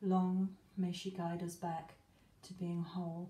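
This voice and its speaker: A woman speaks at a very slow pace, somewhat breathy, with a dark, mellow tone at medium pitch. Her intonation stays monotone and flat. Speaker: witch. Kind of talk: spoken word ritual.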